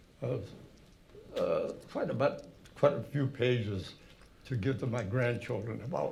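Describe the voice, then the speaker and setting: With audible room echo around him, a man speaks with an American accent. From Massachusetts, Haverhill. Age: 90s. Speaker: war veteran. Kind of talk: talk to an audience. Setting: hall with audience. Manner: halting.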